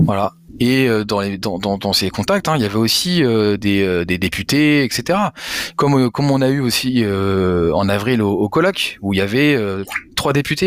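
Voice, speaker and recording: Lively intonation marks a man's speech, which unfolds at a fairly slow pace. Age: 30s. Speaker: cannabis industry advocate and entrepreneur. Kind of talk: interview. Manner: halting, frequent repetitions.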